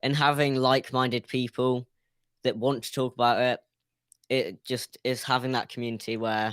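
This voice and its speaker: A man with a British accent speaks at a medium pitch and moderate pace in a monotone, flat delivery, recorded very cleanly against a silent background with a dry, close sound and no echo. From UK. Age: young. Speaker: YouTube creator, caller on show. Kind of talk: casual interview. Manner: halting.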